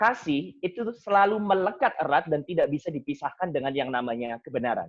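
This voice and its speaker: The speaker is a man with a fairly high pitch. He talks at a fairly quick pace with lively intonation. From Indonesia, Surabaya (East Java). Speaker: seminarian and Bible study speaker. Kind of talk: Bible study talk. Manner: casual, mixing English phrases.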